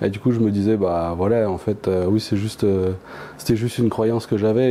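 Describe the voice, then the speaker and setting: A man talks in a fairly low pitch at a moderate pace. His intonation stays fairly even. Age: 30s. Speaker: trainee coach, production manager. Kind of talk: interview testimony. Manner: halting, many hesitations.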